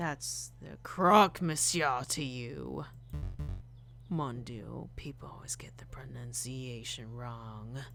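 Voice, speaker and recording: A raspy put-on character voice drags along at a very slow pace. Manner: indignant, correcting.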